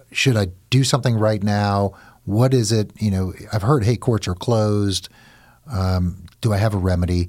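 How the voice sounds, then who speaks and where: Here is a man with a normal speaking voice, fairly low in pitch with ordinary pitch variation. He goes at a moderate pace in a very clean recording with a silent background. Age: 50s. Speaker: divorce lawyer and podcast host. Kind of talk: legal advice podcast interview.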